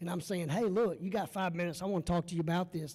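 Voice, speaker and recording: A man's high, dark, mellow voice at a very fast pace. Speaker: lobbyist or advocate, former police officer. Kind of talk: panel Q&A at a meetup. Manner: fast when pitching; animated, conversational.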